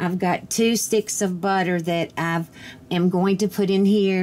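Woman with a Virginia accent at a fairly slow pace, very even loudness and light background noise. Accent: Southern US (Virginia). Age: 60s. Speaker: home cooking vlogger. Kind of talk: cooking tutorial. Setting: home kitchen. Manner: chatty, with frequent fillers. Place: kitchen. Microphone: camera far.

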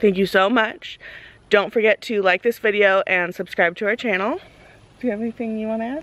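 A woman speaks at a fairly quick pace with fairly even intonation and a dry sound with no echo. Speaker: vlogger host. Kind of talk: casual vlog chat. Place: open country. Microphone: phone near.

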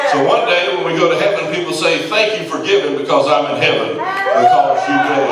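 A man talks at a moderate pace with hardly any pauses. Loud background noise and audible room echo fill the recording. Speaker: preaching pastor. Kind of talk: sermon. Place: church.

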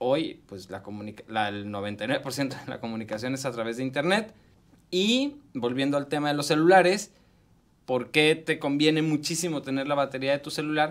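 Against a quiet background, a fairly high-pitched man speaks at a moderate pace with lively intonation and big swings in loudness. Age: 40s. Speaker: tech columnist; tech vlogger. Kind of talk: radio tech segment interview. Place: studio. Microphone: studio mic.

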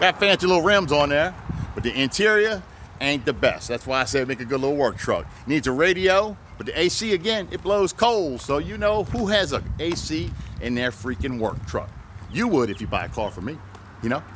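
Delivered at a moderate pace, the speech has very wide pitch swings. Light background noise sits under a dry sound with no echo. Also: man. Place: street. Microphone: phone near.

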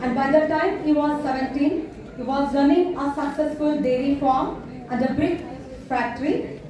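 A woman with a Kannada accent speaks fairly slowly at a high pitch with fairly even intonation, amid strong room echo and noticeable background noise. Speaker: professor and master of ceremonies. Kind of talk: formal event introduction. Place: hall. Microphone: pa.

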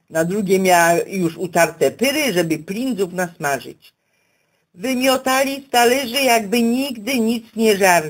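A woman talks at a medium pitch with very wide pitch swings. The recording is very clean, with a silent background. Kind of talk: dialect story reading.

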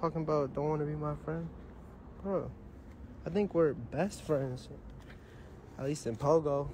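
A man talks at a moderate pace with long, frequent pauses, his fairly high pitch held in fairly even intonation. His dark, mellow tone is somewhat breathy, the sound dry with no echo and light background noise behind it. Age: 20s. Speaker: rapper on a livestream; streamer. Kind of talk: casual livestream chat. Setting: Instagram live video. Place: garden. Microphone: phone near.

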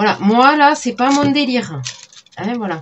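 Light background noise accompanies a woman speaking at a fairly slow pace. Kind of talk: casual vlog chat. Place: home room.

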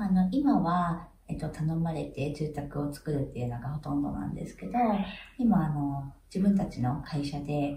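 A woman with a very deep, low pitch speaks at a moderate pace with lively intonation. Audible room echo and light background noise come through. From Hiroshima, Japan. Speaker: architect. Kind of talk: interview answer. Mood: calm, friendly. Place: home room.

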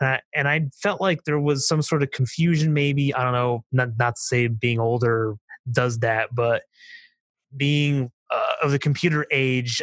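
A normal speaking voice with ordinary pitch variation at a moderate pace, in a dry, close sound with no echo. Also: man. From eastern Pennsylvania, Nazareth. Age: 20s. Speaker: racetrack preservation activist. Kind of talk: casual interview.

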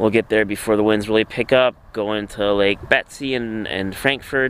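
Recorded dry with no echo, a man speaks at a fairly low pitch. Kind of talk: casual vlog chat. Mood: relaxed, looking forward. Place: boat. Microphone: phone near.

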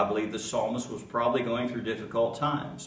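Man's voice with fairly even intonation, audible room echo and music in the background. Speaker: pastor. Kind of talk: sermon. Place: church. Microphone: podium.

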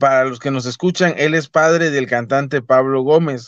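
A man with a fairly high pitch and ordinary pitch variation, over a quiet background, with a dry sound and no echo. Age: 30s. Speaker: YouTube channel host interviewer. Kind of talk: interview. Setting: online call. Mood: calm, respectful. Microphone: phone near.

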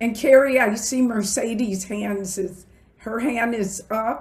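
A woman speaks at a very slow pace in a somewhat breathy voice. Her pitch varies in an ordinary way. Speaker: diversity council leader and event host; diversity council leader, event host. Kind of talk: formal welcome and moderation. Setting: video call. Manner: formal. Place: home room.

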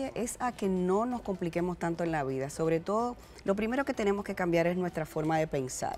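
Against light background noise, a woman speaks with lively intonation at a fairly low pitch. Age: 40s. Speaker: fitness entrepreneur; guest. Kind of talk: TV interview. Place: studio. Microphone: lapel.

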